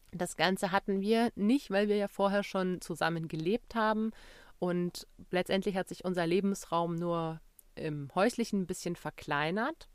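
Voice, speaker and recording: A woman speaks in a plain, everyday voice at a medium pitch and a fairly slow pace, with ordinary pitch variation. The sound is dry and close with no echo, in a very clean recording with a silent background. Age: 30s. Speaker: podcast host, travelling mother. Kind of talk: solo podcast monologue.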